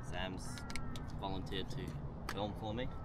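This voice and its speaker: The man's delivery is fairly slow. Loud noise fills the background. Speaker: drone hobbyist vlogger. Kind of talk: casual vlog chat. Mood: lighthearted. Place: open country. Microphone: camera far.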